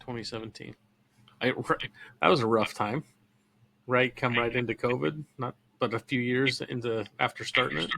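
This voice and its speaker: With an American accent, a man speaks at a moderate pace and medium pitch in a bright, sharp tone with vocal fry, ordinary pitch variation and long, frequent pauses, in a dry, close sound with no echo. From California. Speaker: podcast host. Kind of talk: interview.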